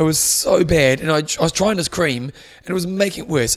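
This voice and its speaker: Speaking very fast in a New Zealand accent, a man uses a high pitch and lively intonation. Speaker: triathlon podcast host. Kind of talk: casual chat. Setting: studio.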